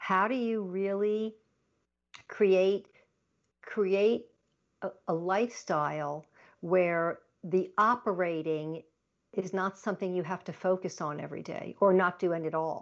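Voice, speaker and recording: A woman with an American accent speaks at a fairly slow pace and medium pitch, with fairly even intonation and long, frequent pauses. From Long Island, New York. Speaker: productivity consultant and author. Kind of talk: interview.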